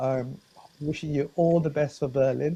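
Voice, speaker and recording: Fairly high for a man, this voice has a dark, mellow tone and is somewhat breathy. He speaks at a moderate pace in a monotone, flat way. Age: 50s. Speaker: running channel host and interviewer. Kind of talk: casual interview.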